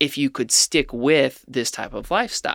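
With an American accent and an ordinary speaking voice, a man talks at a moderate pace and a fairly high pitch in a very clean recording with a silent background. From Ohio, near Cincinnati. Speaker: food company founder. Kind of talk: interview.

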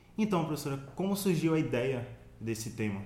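A man speaks fairly quickly in a fairly high pitch. Audible room echo surrounds his voice. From Sergipe, Brazil. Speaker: student podcast host. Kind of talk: podcast interview.

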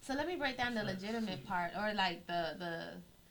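A woman's medium-pitched voice with an American accent and a bright, sharp tone. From Florida. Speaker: radio co-host. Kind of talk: casual radio interview.

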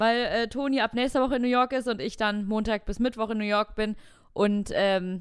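A woman speaks in a normal speaking voice, fairly high-pitched with fairly even intonation, on a very clean recording with a silent background. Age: 20s. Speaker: podcast co-host. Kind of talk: casual chat.

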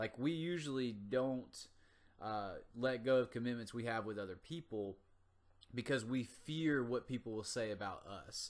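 This man talks at a moderate pace with a medium pitch and ordinary pitch variation. He has an unremarkable speaking voice. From US South, North Carolina. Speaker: motivational podcast host, gym owner. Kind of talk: motivational monologue. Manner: casual.

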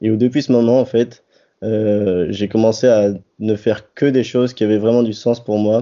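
A man's fairly low voice runs in a monotone, flat intonation. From central France, near Orléans. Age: 20s. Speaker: association member. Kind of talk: interview.

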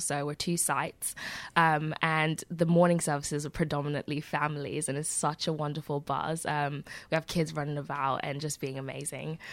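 A woman with a very deep, low pitch speaks at a moderate pace on a very clean recording with a silent background. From Nigeria. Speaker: pastor. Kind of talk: interview.

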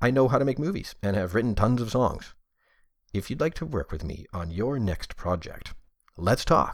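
In a very clean recording with a silent background, a man with a medium pitch and vocal fry speaks at a moderate pace with very wide pitch swings. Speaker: voice actor, game developer and former radio DJ. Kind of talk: voiceover demo reel. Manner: polished, clear radio-announcer delivery.

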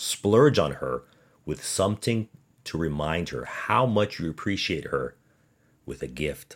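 Lively intonation and an animated tone come through at a fairly slow pace, with vocal fry throughout. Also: man. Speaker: podcast host. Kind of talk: casual podcast monologue about baseball. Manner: animated, joking.

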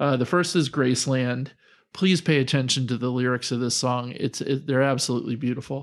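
Recorded very cleanly with a silent background, a man with a plain, everyday voice talks at a fairly quick pace and medium pitch with fairly even intonation. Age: 50s. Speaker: podcast co-host, father of the other host. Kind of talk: casual chat.

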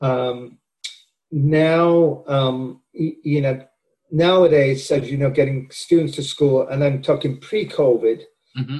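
Speaking at a very slow pace, a man with a Welsh accent has a dark, mellow tone, a somewhat breathy quality, fairly high pitch and fairly even intonation. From Wales. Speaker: professor. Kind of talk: interview.

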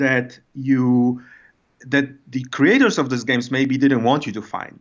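A man's fairly high voice with a Polish accent, at a moderate pace. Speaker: designer and writer. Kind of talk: casual interview. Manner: halting.

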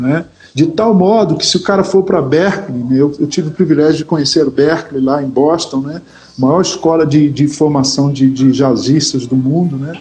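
Noticeable background noise fills the recording. The speech moves at a moderate pace with ordinary pitch variation. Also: man. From Brazil, Rio de Janeiro. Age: 50s. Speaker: gospel musician and pastor. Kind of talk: casual interview chat.

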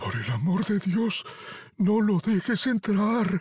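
A put-on character voice speaks at a fairly slow pace with a fairly high pitch. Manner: shouting.

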